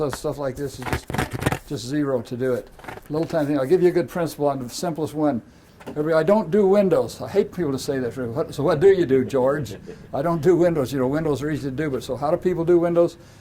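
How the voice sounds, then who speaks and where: Over noticeable background noise, a man with an American accent talks very fast at a fairly high pitch, with ordinary pitch variation. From US West, rural Idaho. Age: 80s+. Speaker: professional cleaner and speaker. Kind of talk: talk to an audience. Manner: animated.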